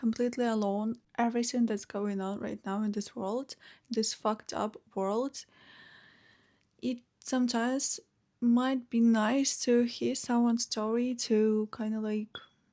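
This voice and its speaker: A woman with a Ukrainian accent speaks at a fairly slow pace in a fairly high pitch, her dark, mellow tone held to a flat monotone on a very clean recording with a silent background. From Ukraine, Chernihiv. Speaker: vlogger. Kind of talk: personal story. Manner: hesitant, many fillers.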